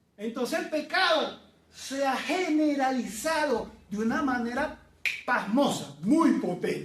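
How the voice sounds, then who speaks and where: A man's extremely high pitch with lively intonation and audible room echo. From Venezuela. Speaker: preacher. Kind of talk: sermon. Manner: conversational.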